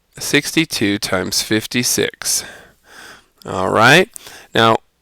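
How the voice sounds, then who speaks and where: At a very slow pace, a man speaks at a medium pitch with lively intonation and a bright, sharp tone, dry and close with no echo on a very clean recording with a silent background. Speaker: math teacher. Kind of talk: tutorial.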